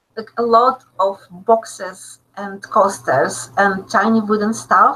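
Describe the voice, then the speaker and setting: A woman with a Russian accent, fairly high-pitched, with fairly even intonation. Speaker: still life photographer. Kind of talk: webinar Q&A. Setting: live online webinar. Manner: halting, many fillers.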